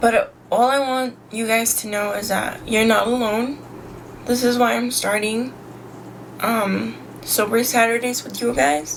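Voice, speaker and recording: Amid noticeable background noise and audible room echo, a woman with a fairly high pitch and ordinary pitch variation speaks at a fairly slow pace. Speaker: sobriety vlogger. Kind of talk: casual vlog monologue. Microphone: poor audio quality.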